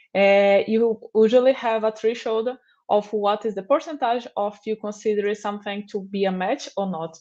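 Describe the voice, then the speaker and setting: A woman speaks with a Portuguese accent at a fairly high pitch. The background is quiet. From Brazil. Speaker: software developer advocate. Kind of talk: conference talk. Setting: remote livestream.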